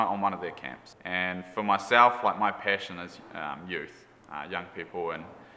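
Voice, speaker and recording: In a New Zealand accent, a man speaks at a moderate pace with a bright, sharp tone. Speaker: camp unit leader, Bible student. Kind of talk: testimony. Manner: halting, many fillers.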